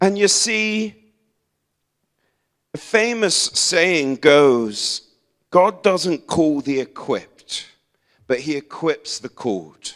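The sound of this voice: A man with a fairly high pitch and a fairly bright tone talks at a very slow pace, using lively intonation and long, frequent pauses.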